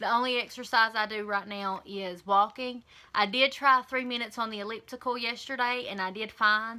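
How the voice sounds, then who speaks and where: A woman with a Southern US accent speaks at a moderate pace, her pitch fairly high and her tone bright and sharp. Her intonation is fairly even. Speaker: vlogger. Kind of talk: casual vlog update.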